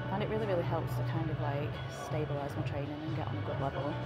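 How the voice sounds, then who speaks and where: A woman speaks very fast over loud background music. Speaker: fitness vlogger. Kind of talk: casual vlog chat. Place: gym. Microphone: lapel.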